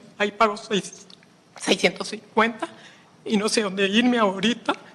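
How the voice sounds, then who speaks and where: A fairly high-pitched woman's voice, fairly quick and fairly even in intonation, amid noticeable background noise. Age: 70s. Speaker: tenant giving public comment. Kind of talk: public testimony.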